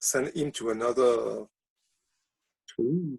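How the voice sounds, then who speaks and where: In a French accent, a man speaks at medium pitch with a dark, mellow tone, recorded dry and close with no echo. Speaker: poet. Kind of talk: casual chat. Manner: halting.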